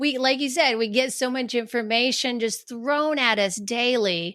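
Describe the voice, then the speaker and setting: Over a silent background in a very clean recording, a woman speaks at a fairly slow pace with ordinary pitch variation. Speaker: life coach and author. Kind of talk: podcast interview. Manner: halting, many restarts.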